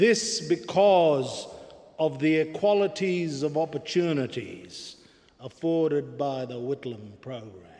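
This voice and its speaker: Over noticeable background noise, a man with a fairly high pitch speaks at a very slow pace, his intonation lively and his loudness swinging widely. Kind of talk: memorial eulogy speech. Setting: public memorial service hall. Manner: formal, measured, oratorical.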